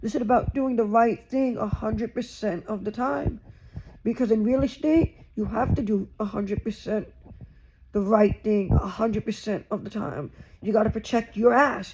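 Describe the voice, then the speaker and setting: A man speaks loudly in a high pitch. His pitch varies in an ordinary way. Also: moderate pace. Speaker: YouTuber, vlogger. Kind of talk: casual vlog monologue.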